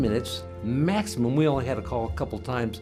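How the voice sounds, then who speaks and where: Music plays behind a man who speaks very fast with an American accent. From Sarasota, Florida. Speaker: retired businessman, heart attack survivor. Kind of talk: patient testimonial interview. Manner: casual, conversational.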